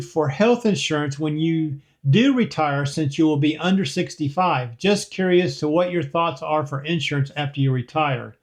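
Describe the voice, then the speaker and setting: A man with an ordinary speaking voice talks at a moderate pace and fairly high pitch, with ordinary pitch variation and hardly any pauses. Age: 60s. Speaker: retiree vlogger answering viewer comments. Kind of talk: casual Q&A reading viewer comments. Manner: conversational with frequent fillers.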